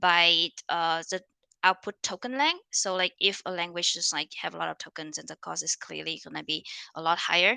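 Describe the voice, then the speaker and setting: Heard in a very clean recording with a silent background, a woman's voice has a bright, sharp tone and a dry, close sound with no echo. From Vietnam. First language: Vietnamese. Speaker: conference speaker on machine learning. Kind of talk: conference talk. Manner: many fillers and restarts.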